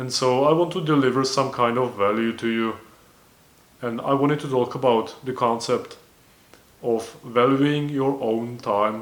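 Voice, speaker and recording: Audible room echo surrounds a man with a non-native accent who speaks at a fairly slow pace with fairly even intonation. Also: medium pitch for a man. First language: not English. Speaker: self-improvement vlogger. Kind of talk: casual monologue. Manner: halting, with self-corrections.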